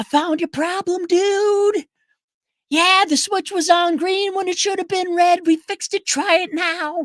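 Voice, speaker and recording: A woman projects a raised, put-on character voice at an extremely high pitch. Her intonation is fairly even and her pace moderate. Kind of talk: casual, friendly.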